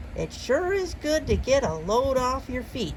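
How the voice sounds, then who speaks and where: A woman puts on a loud character voice at a high pitch. She speaks at a moderate pace with clear background noise. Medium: read story. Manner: folksy, forceful, dropping g's.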